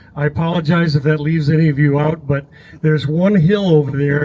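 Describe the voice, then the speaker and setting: A man with a fairly high pitch talks at a very fast pace in a dark, mellow, somewhat breathy tone. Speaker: off-road ride leader at ham radio gathering. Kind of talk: announcement to a crowd. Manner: hesitant with fillers.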